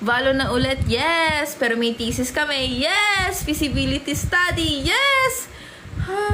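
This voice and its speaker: Very slowly, a woman projects a raised, high-pitched voice with lively intonation and very even loudness. Audible room echo and noticeable background noise come through. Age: 20s. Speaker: livestreamer. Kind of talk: casual livestream chat. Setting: livestream.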